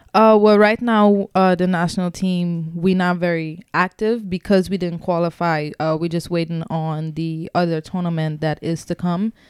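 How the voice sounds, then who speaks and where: A woman's normal speaking voice, with hardly any pauses, in a dry, close sound with no echo. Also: fairly low pitch for a woman, moderate pace. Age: 20s. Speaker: professional soccer player. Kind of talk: casual chat.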